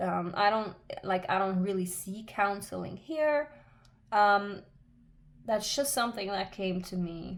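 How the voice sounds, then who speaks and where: A woman with a non-native accent at a medium pitch, a fairly slow pace, and long, frequent pauses. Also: ordinary pitch variation. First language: not English. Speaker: tarot reader. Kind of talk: tarot reading monologue. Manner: halting, many fillers.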